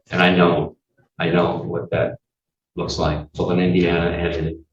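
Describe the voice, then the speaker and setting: A man with a very deep, low voice speaks in a monotone, flat way, sounding somewhat breathy. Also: moderate pace. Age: 60s. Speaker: defendant. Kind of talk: courtroom statement. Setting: courtroom. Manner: halting.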